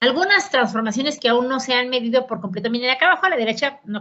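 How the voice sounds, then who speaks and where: At a very fast pace, a woman with a high pitch speaks with lively intonation. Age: 60s. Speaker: politician and economist. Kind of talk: conference lecture. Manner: conversational.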